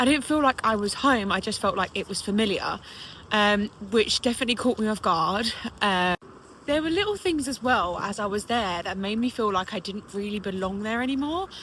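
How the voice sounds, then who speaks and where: A woman's bright, sharp voice with a British accent at a fairly quick pace. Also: fairly high pitch for a woman, ordinary pitch variation. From England. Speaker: British expat vlogger. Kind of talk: casual vlog monologue. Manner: conversational, with fillers.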